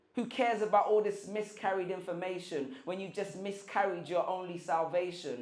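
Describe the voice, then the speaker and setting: With a London accent, a man talks at a moderate pace in a high pitch against noticeable background noise. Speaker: spoken word poet. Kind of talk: spoken word poetry performance.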